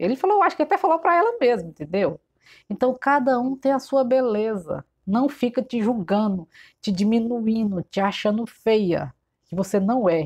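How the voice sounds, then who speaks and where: A woman at a moderate pace with a fairly high pitch and very wide pitch swings, against a quiet background. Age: 40s. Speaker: shop owner and fashion vlogger; fashion vlogger. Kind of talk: casual tutorial vlog. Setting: in her shop. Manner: chatty, informal. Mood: warm, encouraging. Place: shop. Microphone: phone near.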